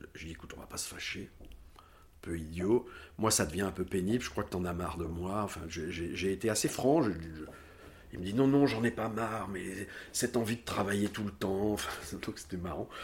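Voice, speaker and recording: A man's fairly low, somewhat breathy voice moves at a moderate pace with ordinary pitch variation and big swings in loudness. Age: 60s. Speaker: former fashion house director. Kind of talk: interview. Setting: at home. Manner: halting.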